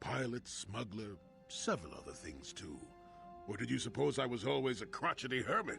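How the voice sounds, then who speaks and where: Over clear background music, a put-on character voice comes out gruff and rumbling at a moderate pace, with big swings in loudness and very wide pitch swings. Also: man, fairly low pitch for a man. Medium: video game. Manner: gruff, grumbling, sardonic.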